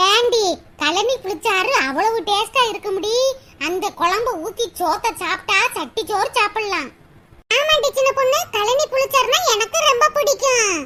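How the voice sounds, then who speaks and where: A woman in a cartoonish character voice speaks at a very slow pace, her extremely high pitch moving with lively intonation. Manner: chatty, familiar.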